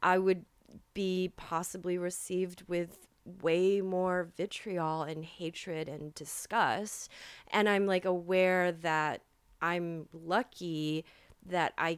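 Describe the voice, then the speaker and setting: On a very clean recording with a silent background, a woman with a fairly low pitch speaks at a very slow pace with ordinary pitch variation. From USA, Chinese immigrant family. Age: 30s. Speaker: poet and writer. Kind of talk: casual interview chat. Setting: studio, on host's couch.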